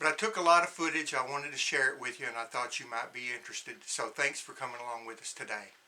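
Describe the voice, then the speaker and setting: At a very fast pace, a man with an American accent talks with big swings in loudness and ordinary pitch variation over noticeable background noise. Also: medium pitch for a man, hardly any pauses. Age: 60s. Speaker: homesteading vlogger. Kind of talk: casual video narration.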